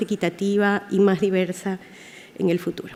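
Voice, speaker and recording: A woman speaks slowly-ish, at a fairly slow pace, with a dark, mellow tone and medium pitch. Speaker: academic panelist. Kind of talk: conference talk.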